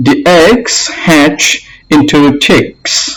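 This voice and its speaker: With a non-native accent, a man talks at a very slow pace and with lively intonation. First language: not English. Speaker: English learner / teacher. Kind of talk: reading aloud; tutorial.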